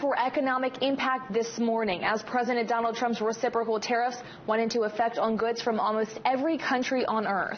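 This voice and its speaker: A woman speaks at a high pitch and a fairly quick pace, with hardly any pauses. Noticeable background noise runs behind her. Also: very even loudness. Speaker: TV news anchor and reporter. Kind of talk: TV news anchor read. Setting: studio.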